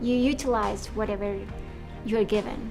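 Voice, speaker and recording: A woman at medium pitch and moderate pace, fairly even intonation, with music in the background. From Colombia. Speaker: director, writer, producer, actor. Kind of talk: interview answer.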